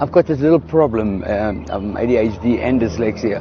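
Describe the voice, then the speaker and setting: Lively intonation marks a man speaking with a South African accent over noticeable background noise. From South Africa, south of Johannesburg. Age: 50s. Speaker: entertainer and electronics repairman. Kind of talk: interview. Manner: halting.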